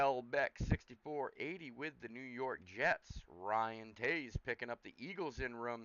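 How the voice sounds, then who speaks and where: With a Northeastern US accent, a man speaks at medium pitch with ordinary pitch variation. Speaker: sports card break host. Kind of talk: live stream team assignment roll call; casual chat with viewers.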